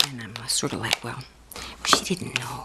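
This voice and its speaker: A woman whispering in a gentle tone, with noticeable background noise. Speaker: friend doing the listener's makeup (roleplay). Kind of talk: ASMR roleplay, soft spoken talk to the listener. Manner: soft-spoken, gentle, consoling.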